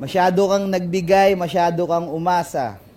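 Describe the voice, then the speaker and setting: This is a man speaking. His voice sits at a high pitch. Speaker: spoken word poet. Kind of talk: freestyle spoken word performance. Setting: live stage performance.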